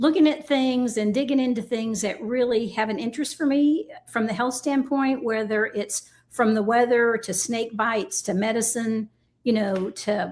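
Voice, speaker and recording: A woman's unremarkable speaking voice, fairly high-pitched, with ordinary pitch variation and a moderate pace. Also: very clean recording, silent background. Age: 60s. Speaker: shooting sports team lead. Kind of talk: casual interview.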